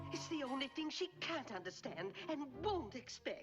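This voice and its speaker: Over clear background music, a woman performs a cartoonish character voice at a moderate pace. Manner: brisk, bossy.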